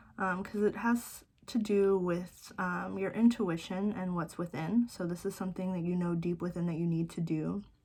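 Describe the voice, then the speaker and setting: This woman's voice sits at a medium pitch and is somewhat breathy. She speaks at a fairly slow pace with ordinary pitch variation. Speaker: tarot reader. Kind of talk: tarot reading to camera. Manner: casual, many fillers.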